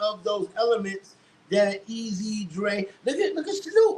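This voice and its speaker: A New York accent from a man with extremely high pitch and lively intonation. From New York, the Bronx. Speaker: hip hop writer and former radio DJ. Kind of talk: casual chat.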